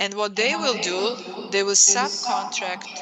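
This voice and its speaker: A fairly high-pitched woman with a Serbian accent, a fairly slow pace and noticeable background noise. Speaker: professor. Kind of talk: lecture.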